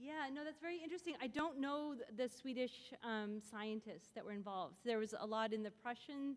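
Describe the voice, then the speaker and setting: A woman speaks loudly at a high pitch, her intonation lively and her speech nearly free of pauses. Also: moderate pace. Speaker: philosopher of science, symposium speaker. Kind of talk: lecture with audience Q&A. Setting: stage with audience.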